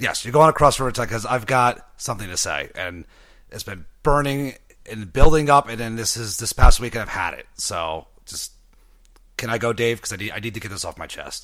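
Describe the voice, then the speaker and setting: On a very clean recording with a silent background, a bright, sharp voice moves at a fairly quick pace with lively intonation and big swings in loudness. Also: man, medium pitch for a man. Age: 30s. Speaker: podcast co-host. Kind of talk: casual chat. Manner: animated.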